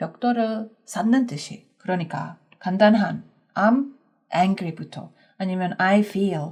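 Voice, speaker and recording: The speaker has an English accent and a somewhat breathy voice. The pace is very slow. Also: woman. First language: English (speaking Korean). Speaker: English teacher. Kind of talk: language lesson. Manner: conversational, with filler hesitations.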